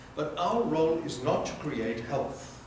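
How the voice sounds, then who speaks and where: Speaking at a fairly slow pace, a man with a fairly high pitch and lively intonation comes through amid noticeable background noise and audible room echo. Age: 70s. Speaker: health educator. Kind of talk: lecture. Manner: animated.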